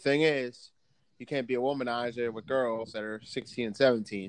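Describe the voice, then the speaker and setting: A man with a normal speaking voice talks at a moderate pace and medium pitch, keeping his intonation fairly even. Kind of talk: casual banter podcast chat. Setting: remote call recording. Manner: joking, casual, profane.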